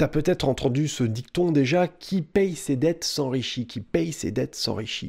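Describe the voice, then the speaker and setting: A man's fairly high voice over a quiet background, fairly slow in pace, lively in intonation and with hardly any pauses. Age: 30s. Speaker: personal finance youtuber and author; personal finance youtuber. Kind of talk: direct-to-camera tutorial. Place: home room.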